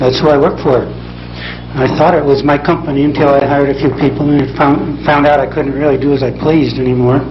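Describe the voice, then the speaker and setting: Fairly quick, monotone speech with flat intonation, audible room echo and noticeable background noise. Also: man. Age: 50s. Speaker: experimenter and company owner. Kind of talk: conference presentation. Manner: soft-spoken.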